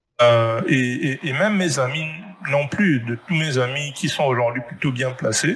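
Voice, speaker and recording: The speech unfolds fairly slowly while music sounds behind it. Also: man, medium pitch for a man, ordinary pitch variation. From Gabon. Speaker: 3D artist and entrepreneur. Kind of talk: interview.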